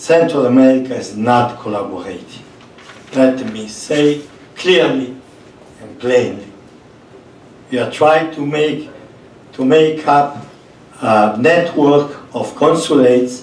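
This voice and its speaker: A man with a non-native accent at a very slow pace, with long, frequent pauses, big swings in loudness, audible room echo and noticeable background noise. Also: medium pitch for a man, ordinary pitch variation. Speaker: priest running a migrant shelter. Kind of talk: panel talk.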